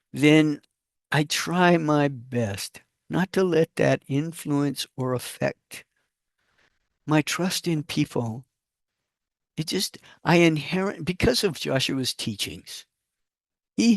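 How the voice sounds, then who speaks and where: Long, frequent pauses break up a man's very slow speech, his fairly high pitch moving with lively intonation in a dry, close sound with no echo. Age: 60s. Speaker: spiritual channel host, channeler. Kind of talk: spiritual talk to camera. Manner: casual, with hesitations.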